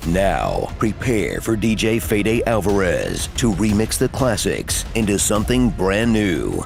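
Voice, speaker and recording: A man's fairly low voice at a fairly slow pace, with hardly any pauses, very even loudness and fairly even intonation, over music in the background. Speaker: voice actor. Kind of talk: comedic movie trailer narration.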